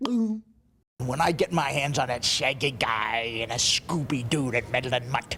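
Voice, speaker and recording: Using a put-on character voice at a low-to-middle pitch, the speaker goes at a fairly slow pace with hardly any pauses. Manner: violent, angry.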